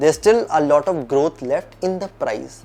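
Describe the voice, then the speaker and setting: The voice moves at a moderate pace over noticeable background noise. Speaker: finance educator. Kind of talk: tutorial.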